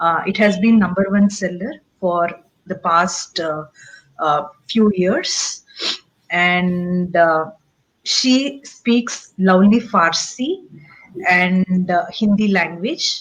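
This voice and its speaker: A woman's somewhat breathy, medium-pitched voice in a Tamil accent, at a very slow pace with long, frequent pauses. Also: ordinary pitch variation. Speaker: show host. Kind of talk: interview. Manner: halting.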